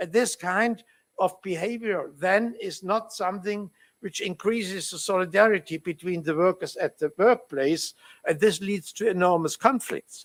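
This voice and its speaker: A man with a German accent speaks in a high pitch at a fairly slow pace. The sound is dry and close, with no echo. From Germany. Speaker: law professor. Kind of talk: conference talk. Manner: halting, many fillers.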